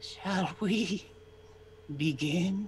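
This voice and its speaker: A man puts on a raspy character voice pitched high for a man. Clear background noise runs behind him. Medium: actual play. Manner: menacing.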